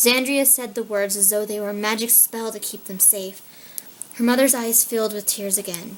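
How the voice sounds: The intonation holds fairly even. It comes from a natural reading voice.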